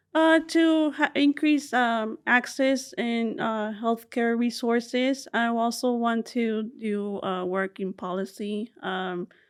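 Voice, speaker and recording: A woman with a Spanish accent and a fairly high pitch speaks at a very slow pace with hardly any pauses and ordinary pitch variation. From South Texas, Rio Grande Valley (McAllen), Mexican family. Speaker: social work doctoral student, researcher. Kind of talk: interview. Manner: halting, many fillers.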